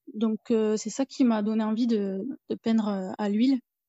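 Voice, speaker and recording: At a fairly slow pace, a woman with an ordinary speaking voice talks at a fairly high pitch with fairly even intonation. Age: 30s. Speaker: self-taught painter and nursing assistant. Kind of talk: casual interview.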